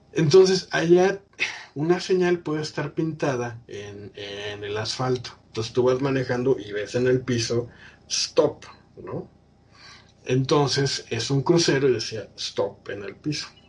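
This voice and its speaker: A man's ordinary speaking voice at medium pitch and a fairly slow pace, with lively intonation and big swings in loudness. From Mexico, State of Mexico. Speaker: podcast host. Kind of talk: casual chat.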